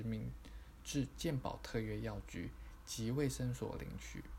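Fairly slow male speech with audible room echo. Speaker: podcast narrator. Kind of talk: reading aloud.

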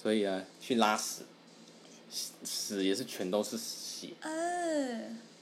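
A man speaks at a very slow pace, with long, frequent pauses. Room echo is audible. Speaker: podcast co-host. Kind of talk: casual chat.

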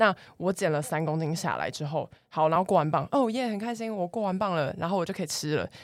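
In a very clean recording with a silent background, a woman with a fairly low voice talks very fast, her pitch varying in an ordinary way. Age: 20s. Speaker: fitness coach. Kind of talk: casual chat.

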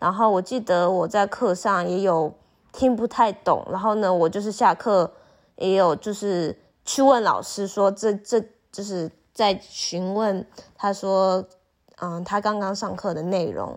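With an ordinary speaking voice, a woman of medium pitch talks at a fairly slow pace with fairly even intonation in a very clean recording with a silent background. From Taiwan. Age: 20s. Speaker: university student, former exchange student. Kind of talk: casual interview chat.

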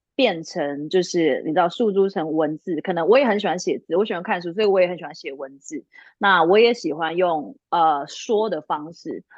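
At a moderate pace, a normal speaking voice is heard with ordinary pitch variation. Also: woman, fairly low pitch for a woman. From Taiwan. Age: 30s. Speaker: lingerie brand founder and career consultant. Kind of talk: casual interview.

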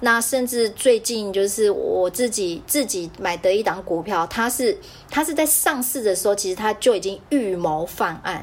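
A woman's fairly high pitch at a moderate pace, with lively intonation and hardly any pauses. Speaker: podcast host. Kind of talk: casual chat. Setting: video call.

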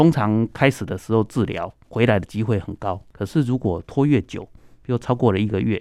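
At a fairly quick pace, a man speaks in a medium pitch with a dark, mellow tone and ordinary pitch variation, on a very clean recording with a silent background and a dry, close sound with no echo. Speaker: ENT doctor. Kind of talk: radio interview.

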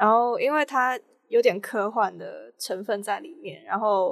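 Very slowly, a woman speaks with a Cantonese accent. The recording is very clean, with a silent background. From Hong Kong. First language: Cantonese (speaking Chinese). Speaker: film student. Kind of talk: casual interview.

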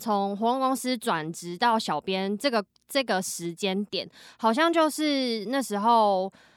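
Speaking at a very slow pace, a woman with a fairly high voice swings very widely in pitch, recorded dry and close with no echo on a very clean, silent background. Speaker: social media content creator. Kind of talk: casual chat.

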